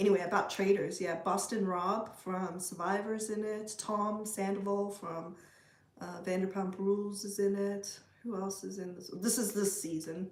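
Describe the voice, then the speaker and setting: A woman's medium-pitched, monotone, flat delivery with big swings in loudness, audible room echo and noticeable background noise. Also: moderate pace. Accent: South African. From South Africa. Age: 40s. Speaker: livestreamer. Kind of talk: casual chat. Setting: livestream.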